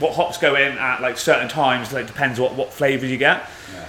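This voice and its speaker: A man talks at a fairly quick pace in a Shropshire accent. Noticeable background noise runs underneath. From West Midlands of England. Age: 20s. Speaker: brewer. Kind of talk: guided tour explanation. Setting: walking around a brewery. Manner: casual, uses lots of fillers.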